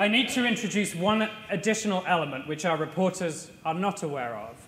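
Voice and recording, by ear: A man's high, fairly bright voice at a fairly quick pace, ordinary pitch variation, and audible room echo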